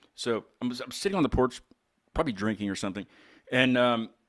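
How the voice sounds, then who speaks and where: Talking at a very fast pace, a man with an Appalachian accent uses lively intonation at a medium pitch. The recording is very clean, with a silent background. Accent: mild Appalachian US. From northern West Virginia. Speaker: podcast host. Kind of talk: casual chat.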